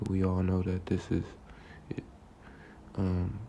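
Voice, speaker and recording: A soft-spoken man talks at a fairly slow pace. His pitch is very deep and low, with monotone, flat intonation. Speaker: religious teacher. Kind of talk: religious lesson.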